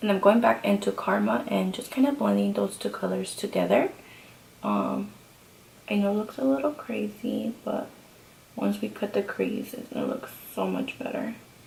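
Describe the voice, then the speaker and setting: The delivery moves at a moderate pace. Noticeable background noise runs underneath. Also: woman. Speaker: beauty vlogger. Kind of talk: tutorial. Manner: soft-spoken.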